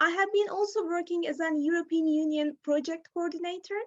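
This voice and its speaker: A woman's lively intonation in a Turkish accent. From Turkey. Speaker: teacher. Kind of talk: conference talk. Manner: halting.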